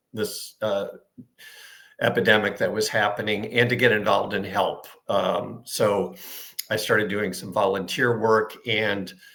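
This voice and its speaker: A man with an American accent speaks fairly slowly in a fairly low pitch, his intonation fairly even. His tone is bright and sharp, and there is audible room echo. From US Midwest, Chicago suburb. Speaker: retired social worker. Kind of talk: interview. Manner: hesitant, many fillers.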